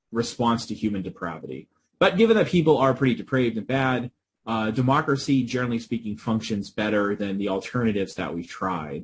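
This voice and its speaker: A man at medium pitch, talking at a very fast pace with lively intonation. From US Northeast, Boston area. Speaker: professor. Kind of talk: interview.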